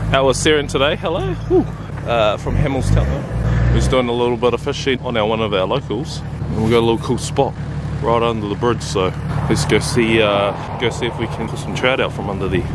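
Spoken at a fairly quick pace, the voice sounds dry with no echo over loud background noise. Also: man. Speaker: fishing vlogger. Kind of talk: casual vlog chat. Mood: upbeat, friendly. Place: waterside. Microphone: phone near.

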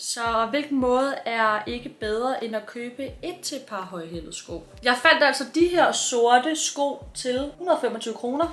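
Her pace very slow and with hardly any pauses, a woman speaks at a high pitch with ordinary pitch variation and big swings in loudness. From Denmark. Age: 20s. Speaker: vlogger. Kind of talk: casual vlog talk. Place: home room. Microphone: phone near.

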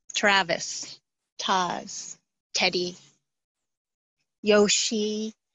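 A woman speaks in a monotone, flat intonation, with a dry sound that has no echo. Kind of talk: guided meditation talk. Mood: calm, warm, smiling. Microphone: video call.

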